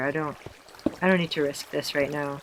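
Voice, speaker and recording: Noticeable background noise behind a fairly quick pace of speech. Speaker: gaming YouTuber. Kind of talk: let's play commentary. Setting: home recording at night. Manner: halting.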